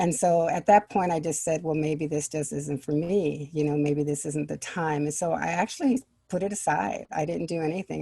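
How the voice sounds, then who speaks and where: This woman has a very deep, low pitch and a dark, mellow tone with ordinary pitch variation. She speaks with hardly any pauses. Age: 60s. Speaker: children's book author. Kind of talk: interview.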